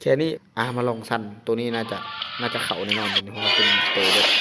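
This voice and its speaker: Music plays in the background as a man speaks in an excited tone with an Isan accent. His pitch is medium, with ordinary pitch variation. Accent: Northeastern Thai (Isan). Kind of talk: casual gaming commentary. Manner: excited, informal.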